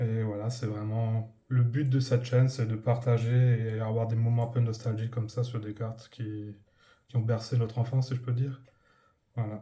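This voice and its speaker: A man's somewhat breathy, dark and mellow voice at medium pitch, flat and monotone, at a moderate pace. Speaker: YouTuber, Pokémon card collector. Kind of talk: casual video commentary. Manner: halting, many hesitations.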